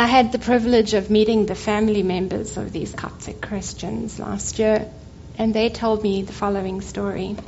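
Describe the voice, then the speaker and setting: The speaker has a South African accent and talks at a moderate pace with monotone, flat intonation. Noticeable background noise runs underneath. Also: woman, fairly high pitch for a woman. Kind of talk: church talk. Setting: church.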